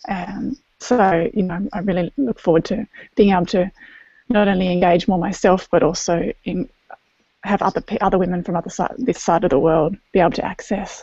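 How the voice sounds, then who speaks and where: Somewhat breathy and soft-spoken, a woman talks at a fairly quick pace with a dark, mellow tone and medium pitch. Her pitch varies in an ordinary way, and the sound is dry and close with no echo. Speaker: group member. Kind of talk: casual group video chat.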